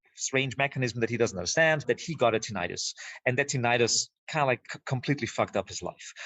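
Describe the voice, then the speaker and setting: Talking at a very fast pace, a man with a German accent uses a medium pitch and ordinary pitch variation. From Austria. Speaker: filmmaker. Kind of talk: podcast interview. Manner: halting, many repeated words.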